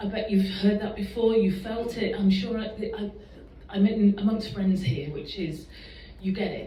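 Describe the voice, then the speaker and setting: A woman in an English accent speaks with a shaky voice at a medium pitch and moderate pace, her intonation fairly even and her loudness swinging widely, amid audible room echo and noticeable background noise. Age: 40s. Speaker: fitness coach and public speaker. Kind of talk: personal talk to an audience. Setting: stage with audience. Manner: shaky, emotional.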